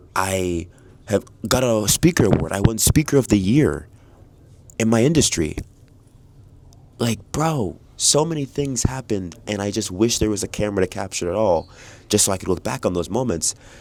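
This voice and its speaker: A man with a fairly low pitch and lively intonation talks at a moderate pace, broken by long, frequent pauses. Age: 20s. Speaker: keynote speaker, vlogger. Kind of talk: casual vlog. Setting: airport lounge.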